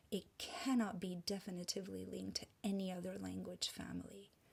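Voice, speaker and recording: A woman with a Hungarian accent speaks at a fairly slow pace. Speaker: presenter on language and spirituality. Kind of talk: presentation.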